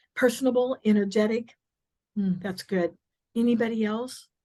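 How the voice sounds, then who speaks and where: The voice moves at a moderate pace and sounds somewhat breathy. Its pitch varies in an ordinary way. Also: woman, long, frequent pauses. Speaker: real estate coach. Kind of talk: workshop training session. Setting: in-person class with Zoom participants.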